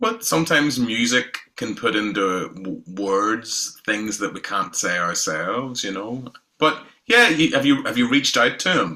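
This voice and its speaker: At a fairly slow pace, a man with a medium pitch speaks with lively intonation. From Northern Ireland, south County Down. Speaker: independent musician. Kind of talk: casual interview chat.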